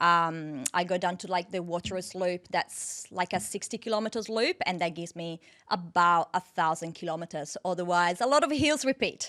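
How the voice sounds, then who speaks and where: In an Italian accent, a woman speaks at a moderate pace with a bright, sharp tone and fairly low pitch, barely pausing. Her intonation is lively, and the sound is dry and close with no echo. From northern Italy, near Venice. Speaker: dietitian and off-road triathlete. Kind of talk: casual interview.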